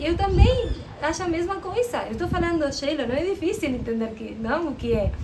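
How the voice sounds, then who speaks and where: Noticeable background noise and audible room echo surround this woman's voice. She speaks with a strong Spanish accent and lively intonation. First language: Spanish (speaking Portuguese). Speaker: interviewee. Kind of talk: interview. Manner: halting.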